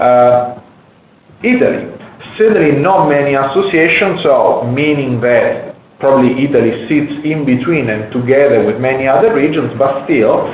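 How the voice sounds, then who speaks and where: Ordinary pitch variation at a moderate pace, with noticeable background noise and audible room echo. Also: man, fairly high pitch for a man. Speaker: wine market researcher. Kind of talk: webinar presentation. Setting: online webinar. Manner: halting, repeats words.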